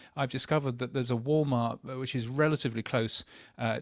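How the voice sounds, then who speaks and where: A man with a British accent talks at a very fast pace, using a medium pitch and ordinary pitch variation. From England. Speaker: podcast industry journalist. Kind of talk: casual panel discussion. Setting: remote from a hotel.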